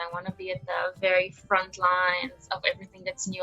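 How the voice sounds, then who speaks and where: A non-native accent over background music. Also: woman. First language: not English. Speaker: undergraduate machine learning researcher. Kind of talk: interview. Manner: casual, animated.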